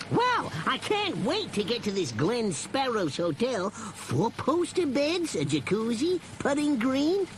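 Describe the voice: A man's put-on character voice at an extremely high pitch with very wide pitch swings, a slow pace, few pauses and audible room echo.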